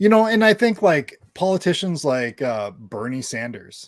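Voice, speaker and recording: In a very clean recording with a silent background and a dry, close sound with no echo, a man with a plain, everyday voice talks at a moderate pace with lively intonation. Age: 40s. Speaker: caller. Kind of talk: casual chat.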